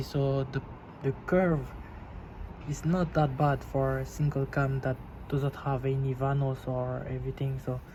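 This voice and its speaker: Speaking with a non-native accent, a man at a fairly high pitch goes at a fairly slow pace with long, frequent pauses. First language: not English. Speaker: car enthusiast video host. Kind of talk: casual video tutorial. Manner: halting, with repeated words.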